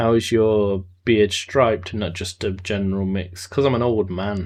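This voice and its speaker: A man with a plain, everyday voice talks at a moderate pace with fairly low pitch and fairly even intonation against a quiet background. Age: 30s. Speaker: video game streamer. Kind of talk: live gameplay stream chat.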